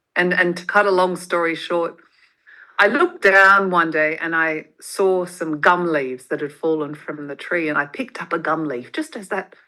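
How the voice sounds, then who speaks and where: A woman with an Australian accent speaks at a moderate pace against a quiet background, her pitch fairly low. Her tone is bright and sharp, with ordinary pitch variation. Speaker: motivational speaker and podcaster. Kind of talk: interview, personal story.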